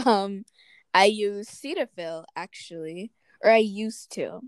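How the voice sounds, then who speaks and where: With a normal speaking voice at medium pitch, a woman talks with ordinary pitch variation, the sound dry and close with no echo. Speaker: podcast co-host. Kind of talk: casual chat.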